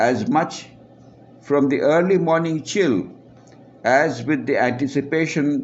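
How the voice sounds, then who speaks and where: The voice moves at a very slow pace with vocal fry and ordinary pitch variation. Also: man. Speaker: author. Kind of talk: reading aloud.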